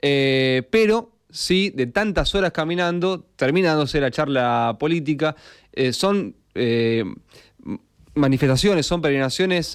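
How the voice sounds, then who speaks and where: A man talks at a fairly slow pace with lively intonation. It is an ordinary speaking voice. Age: 30s. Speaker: radio host. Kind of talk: radio interview.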